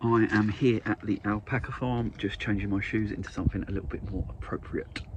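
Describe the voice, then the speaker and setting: Over noticeable background noise, a man with a fairly low pitch talks at a fairly quick pace with hardly any pauses and fairly even intonation. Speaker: vegetable farmer and vlogger. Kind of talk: casual vlog. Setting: outdoors; in a car.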